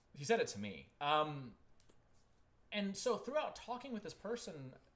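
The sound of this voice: The voice moves at a fairly slow pace with a fairly bright tone and very wide pitch swings. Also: man, fairly high pitch for a man.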